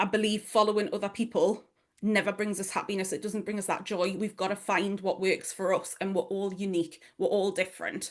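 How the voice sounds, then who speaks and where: A woman with a strong Geordie accent talks at a fairly quick pace and a medium pitch. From northeast England, Newcastle. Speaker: online business strategist and mentor. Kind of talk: workshop presentation. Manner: animated.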